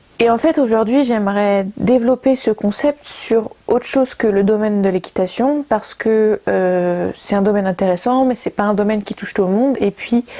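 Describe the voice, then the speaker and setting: A woman's fairly high voice at a moderate pace, with hardly any pauses, ordinary pitch variation and noticeable background noise. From Brittany, France. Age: 20s. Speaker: communication student and video maker. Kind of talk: project presentation to camera. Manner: hesitant, many fillers.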